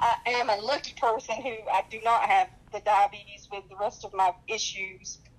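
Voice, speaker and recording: A woman with a slight Southern US accent talks at a moderate pace in a fairly high pitch, her intonation fairly even, her loudness swinging widely, and hardly any pauses. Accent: slight Southern twang. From North Carolina. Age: 40s. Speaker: dialysis patient. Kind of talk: personal testimony.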